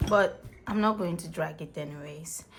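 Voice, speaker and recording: Speaking at a fairly slow pace, the voice carries a non-native accent. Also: woman. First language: not English. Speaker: crochet tutorial creator. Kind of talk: tutorial. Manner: casual, conversational.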